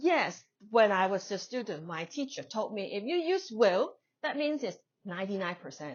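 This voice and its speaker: Speaking at a moderate pace in a Chinese accent, a woman lets her pitch swing very widely. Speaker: English teacher. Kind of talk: lecture. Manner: conversational.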